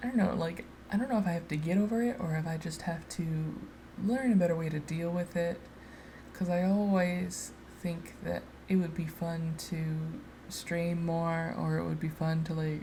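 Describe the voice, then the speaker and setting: A somewhat breathy woman speaks at a moderate pace with ordinary pitch variation, with audible room echo around her. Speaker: artist doing a speedpaint voiceover. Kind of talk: casual unedited ramble. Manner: halting, many fillers.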